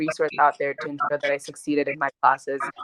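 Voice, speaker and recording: A woman's very deep, low pitch at a very fast pace, dry and close with no echo. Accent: slight Gambian. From Gambia, moved to US at seventh grade. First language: Mandinka. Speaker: activist and college student. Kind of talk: interview. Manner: casual, with many fillers.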